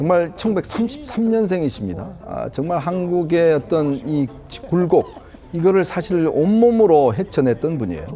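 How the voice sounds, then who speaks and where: A man with a high pitch uses lively intonation at a moderate pace, with noticeable background noise around him. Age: 50s. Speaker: political commentator. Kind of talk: TV panel discussion. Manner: hesitant, many fillers.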